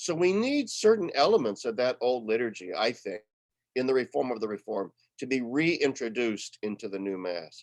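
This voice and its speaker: A man with an unremarkable speaking voice, medium pitch, lively intonation and a moderate pace. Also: dry, close sound with no echo. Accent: American. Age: 60s. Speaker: retired theology professor. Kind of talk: webinar talk. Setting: online webinar.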